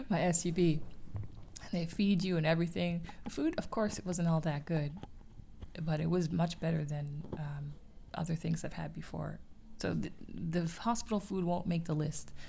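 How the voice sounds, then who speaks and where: Soft-spoken and at a moderate pace, a woman talks with vocal fry. Her pitch is fairly low and her tone is dark and mellow. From Canada. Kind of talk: ASMR chat.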